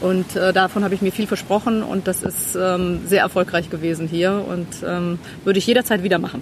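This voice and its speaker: With noticeable background noise around her, a woman talks at a moderate pace and medium pitch, her intonation fairly even. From Cologne, Germany. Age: 50s. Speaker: therapy client on health retreat. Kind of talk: casual chat.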